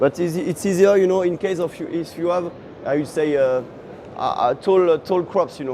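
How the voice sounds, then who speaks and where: Noticeable background noise, a moderate pace and ordinary pitch variation. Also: man, high pitch for a man. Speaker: farm machinery manufacturer representative. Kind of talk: product explanation interview. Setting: trade show floor. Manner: halting, many fillers.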